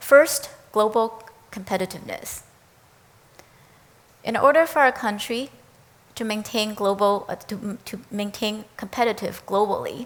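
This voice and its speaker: Speaking with a Chinese accent, a woman at a fairly high pitch moves at a fairly slow pace with ordinary pitch variation, big swings in loudness, and long, frequent pauses. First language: Mandarin Chinese. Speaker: education professor. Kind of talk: prepared talk. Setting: speaker series event.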